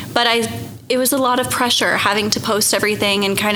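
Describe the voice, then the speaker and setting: At a fairly quick pace and fairly high pitch, a woman with an American accent speaks over noticeable background noise. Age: 20s. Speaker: pageant winner and teacher. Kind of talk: interview conversation.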